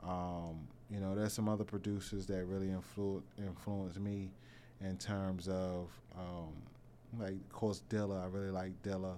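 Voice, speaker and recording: A man's very deep, low voice, dark and mellow in tone, with monotone, flat intonation, a moderate pace and audible room echo. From Washington, DC (Northeast) and Prince George's County, Maryland. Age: 30s. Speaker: music producer. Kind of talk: casual interview. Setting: studio.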